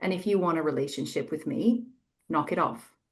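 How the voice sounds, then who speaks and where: With an American accent, a woman uses a plain, everyday voice, fairly low in pitch, with lively intonation at a moderate pace. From United States. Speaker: EDI author and practitioner. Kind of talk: panel webinar discussion. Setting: webinar video call.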